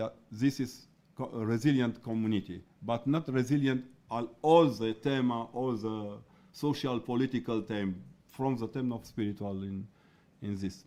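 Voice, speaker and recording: On a very clean recording with a silent background, a man speaks with a non-native accent at medium pitch and a moderate pace. His tone is dark and mellow, his intonation fairly even. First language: not English. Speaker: researcher on religion. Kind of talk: conference talk. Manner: halting.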